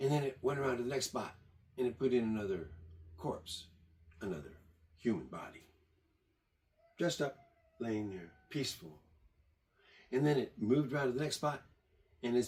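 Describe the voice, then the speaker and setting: Lively in intonation, a man talks at a fairly quick pace with a medium pitch and a dark, mellow tone. His speech is broken by long, frequent pauses. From born in Germany, raised partly in Michigan. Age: 70s. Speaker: tiny house builder and vlogger. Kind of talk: rambling monologue.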